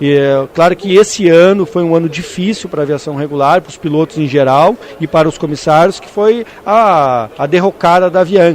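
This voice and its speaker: Over noticeable background noise, a man with a strong gaúcho accent speaks fairly quickly at a high pitch, with ordinary pitch variation and big swings in loudness. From Rio Grande do Sul, Brazil (Caçapava do Sul). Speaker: pilots' union president and airline pilot. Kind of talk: radio interview. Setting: at an agricultural aviation congress.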